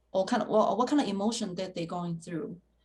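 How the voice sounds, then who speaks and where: A woman speaks in a somewhat breathy voice. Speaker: foundation founder and lecturer. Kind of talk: interview. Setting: video call. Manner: halting, stuttering.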